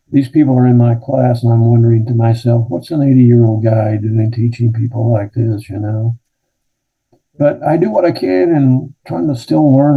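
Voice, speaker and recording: The speech moves at a moderate pace with ordinary pitch variation. The voice is somewhat breathy. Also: man. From Kentucky. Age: 70s. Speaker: retired pastor. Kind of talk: interview.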